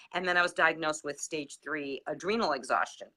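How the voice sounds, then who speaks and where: A woman speaks in a bright, sharp tone. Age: 60s. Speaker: wellness product user sharing results. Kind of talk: casual chat.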